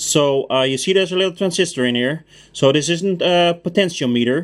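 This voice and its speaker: Fairly quick in pace, a man talks with a Dutch accent. His pitch is high with ordinary variation. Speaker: car mechanic. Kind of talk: tutorial. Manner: casual.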